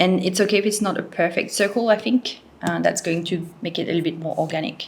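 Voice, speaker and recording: Vocal fry runs through this woman's voice. Her intonation is fairly even. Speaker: lettering artist and tutorial creator. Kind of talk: tutorial. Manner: casual, with many fillers.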